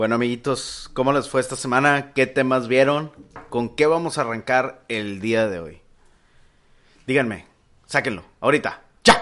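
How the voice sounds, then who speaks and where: A man with a Mexican accent speaks at a medium pitch and a fairly slow pace, using ordinary pitch variation. He leaves long, frequent pauses. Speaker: podcast host. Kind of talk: casual chat.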